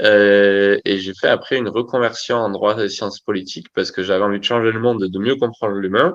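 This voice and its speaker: With hardly any pauses, a man speaks at a fairly quick pace and fairly low pitch, his intonation fairly even. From French Basque Country. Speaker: agency founder and CEO. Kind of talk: interview. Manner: hesitant, many fillers.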